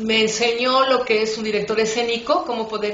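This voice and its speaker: Noticeable background noise and audible room echo surround a woman's voice. She speaks at a moderate pace with a fairly high pitch. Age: 60s. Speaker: writer and storyteller. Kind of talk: interview. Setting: online radio interview.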